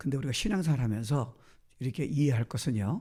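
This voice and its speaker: A man with a medium pitch and a somewhat breathy voice speaks at a fairly quick pace with lively intonation. The recording is very clean, with a silent background. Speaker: guest pastor. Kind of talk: sermon.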